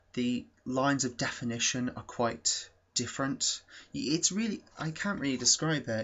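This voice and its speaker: A man with a British accent speaks at a moderate pace in a medium pitch. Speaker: YouTube film reviewer. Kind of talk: casual video review. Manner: hesitant, many fillers.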